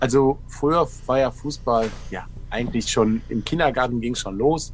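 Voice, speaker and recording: A man speaks at a moderate pace and a medium pitch, with ordinary pitch variation. Music plays in the background. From Germany, Ruhr area. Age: 40s. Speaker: former professional footballer. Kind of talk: casual interview. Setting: live stream.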